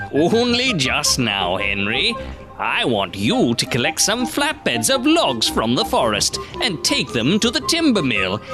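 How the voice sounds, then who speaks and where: Over clear music in the background, a man does a put-on character voice at a fairly high pitch and a fairly slow pace. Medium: dub.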